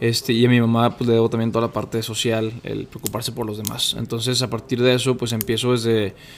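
A man's very fast, monotone delivery at a medium pitch, flat in intonation and with hardly any pauses. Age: 20s. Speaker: podcast guest, social entrepreneur. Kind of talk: casual interview chat.

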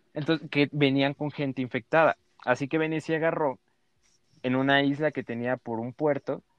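A man's fairly high-pitched voice with a Mexican accent and ordinary pitch variation. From Mexico, Chiapas (Tuxtla). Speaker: podcast host. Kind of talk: casual chat. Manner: halting.

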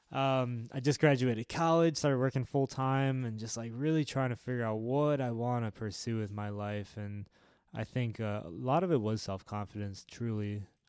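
A man with an ordinary speaking voice, medium pitch, ordinary pitch variation, a moderate pace and hardly any pauses. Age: 20s. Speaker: podcast host and musician. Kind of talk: casual chat.

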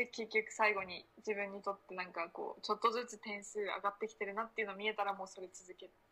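A woman's very fast, monotone, flat delivery, bright and sharp in tone, with big swings in loudness. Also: medium pitch for a woman, hardly any pauses. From Japan, Akita. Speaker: university student. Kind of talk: casual chat.

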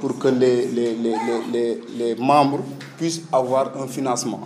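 Over music in the background and audible room echo, the speaker talks at a very slow pace with fairly even intonation. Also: man. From Senegal, Diourbel. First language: Wolof (speaking Indonesian). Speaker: entrepreneur. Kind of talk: speech to training session. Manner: halting.

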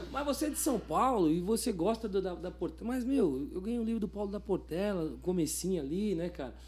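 A high-pitched man talks at a fairly quick pace, with hardly any pauses. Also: lively intonation. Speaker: cavaquinho teacher and musician. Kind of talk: casual interview chat. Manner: halting.

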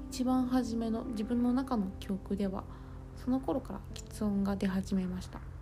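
Audible room echo surrounds a woman speaking at a fairly slow pace. Her pitch is fairly high, with ordinary pitch variation. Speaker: podcaster. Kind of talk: personal audio diary.

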